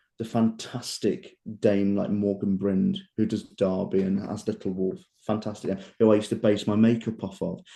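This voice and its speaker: A man with an East Midlands accent speaks at a moderate pace. His voice is fairly low in pitch with a dark, mellow tone. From England, Leicester. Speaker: pantomime dame actor. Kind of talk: casual interview chat. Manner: animated.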